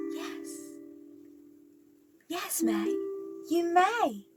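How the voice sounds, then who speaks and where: An extremely high, put-on character voice comes through over faint music in the background. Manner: sweet, singsong.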